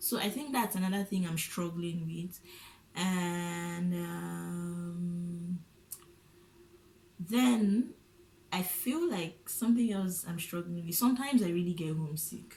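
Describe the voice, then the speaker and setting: A woman with a Nigerian accent speaks very slowly in a dark, mellow, somewhat breathy voice, fairly low in pitch with ordinary pitch variation and long, frequent pauses. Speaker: international student. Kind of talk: casual conversation.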